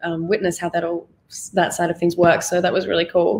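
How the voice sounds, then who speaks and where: A woman's very fast speech in an Australian accent, at a medium pitch. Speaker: actress. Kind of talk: interview. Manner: animated.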